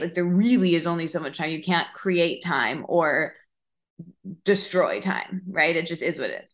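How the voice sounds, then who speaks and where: A woman's fairly low-pitched voice, animated, with a bright, sharp tone. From US Midwest, Michigan small town. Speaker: podcast host and wellness writer. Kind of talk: casual chat.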